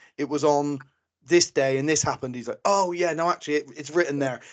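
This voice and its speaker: A man talks with a Bristol accent at a fairly high pitch. His intonation stays fairly even. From England, Bristol. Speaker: podcast host. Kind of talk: interview.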